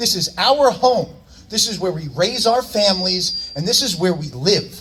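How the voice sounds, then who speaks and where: A loud man with an American accent, high pitch and lively intonation at a moderate pace, against noticeable background noise. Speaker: local political candidate. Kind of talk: campaign rally speech. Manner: loud, projecting; animated.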